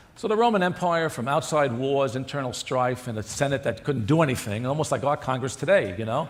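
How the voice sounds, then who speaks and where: A man speaks at a fairly quick pace with lively intonation. There is audible room echo. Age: 60s. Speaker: cardiologist. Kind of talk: conference lecture.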